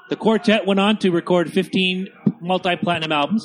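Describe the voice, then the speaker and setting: Over music in the background, a man talks at a fairly quick pace in a high voice. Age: 40s. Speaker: podcast co-host. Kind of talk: casual movie commentary. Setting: home studio on couches in front of a TV.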